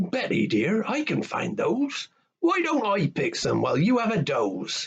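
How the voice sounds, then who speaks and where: Using a put-on character voice pitched high, a man speaks at a moderate pace. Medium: read story.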